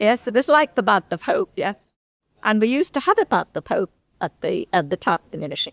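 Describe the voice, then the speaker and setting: This woman talks at a fairly quick pace with a high pitch. Her pitch swings very widely. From northern England, Litherland near Liverpool. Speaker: local history speaker. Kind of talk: reminiscence talk to a society. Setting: hall with live audience. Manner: halting.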